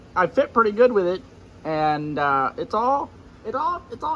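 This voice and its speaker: A man speaks in a raised, projected voice with a high pitch. His pitch swings are very wide. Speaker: car builder and racing YouTuber. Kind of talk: casual vlog chat. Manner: halting, many fillers.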